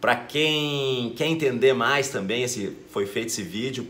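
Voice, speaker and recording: A man at a moderate pace, ordinary pitch variation, audible room echo. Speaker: law teacher and exam-prep youtuber. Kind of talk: educational video lecture. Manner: casual, hesitant with fillers.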